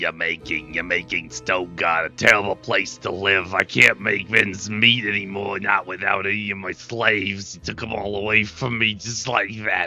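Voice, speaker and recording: Faint music plays in the background as a man in a put-on character voice talks at a moderate pace and fairly low pitch. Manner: angry, fearful, complaining.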